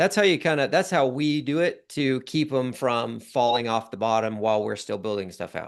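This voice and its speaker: A man with an ordinary speaking voice talks at medium pitch and a moderate pace, with lively intonation. He uses hardly any pauses, over a quiet background. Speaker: software founder teaching automation. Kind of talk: live Q&A tutorial.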